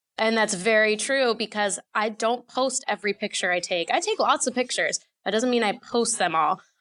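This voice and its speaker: Speaking with hardly any pauses at a moderate pace, a woman with an unremarkable speaking voice keeps a fairly high pitch, ordinary pitch variation and very even loudness over a quiet background. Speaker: sports reporter and podcaster. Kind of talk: casual interview chat.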